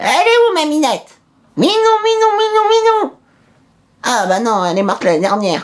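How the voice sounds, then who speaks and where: In a put-on character voice, a man talks at a moderate pace with long, frequent pauses. His extremely high pitch swings very widely. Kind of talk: comedy sketch.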